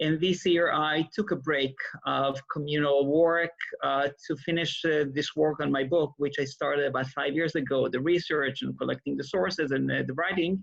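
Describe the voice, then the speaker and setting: A man with an Israeli accent speaks in a fairly high pitch. His pace is moderate and his intonation fairly even. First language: Hebrew. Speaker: rabbi and author. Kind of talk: interview. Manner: hesitant, many fillers.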